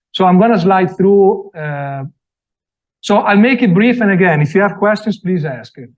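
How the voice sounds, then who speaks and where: The speaker has an Italian accent. The pitch varies in an ordinary way. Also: man, high pitch for a man, moderate pace. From Italy. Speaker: design products sales representative. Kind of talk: product presentation. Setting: after-hours event with live audience. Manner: halting, many fillers.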